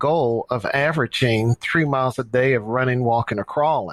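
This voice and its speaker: A man with an American accent and a plain, everyday voice speaks at a medium pitch with ordinary pitch variation. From US Midwest, St. Louis, Missouri. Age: 60s. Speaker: running coach and nonprofit director. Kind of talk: podcast interview.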